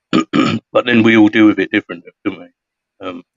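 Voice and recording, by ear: In a hoarse, put-on character voice, a man speaks at a medium pitch and a moderate pace.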